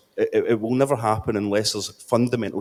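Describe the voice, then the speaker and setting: A man talks at a very fast pace with a strong Scottish accent. The sound is dry and close, with no echo. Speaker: city councillor. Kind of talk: conference panel speech. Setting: conference panel. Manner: halting, with many fillers and repeats.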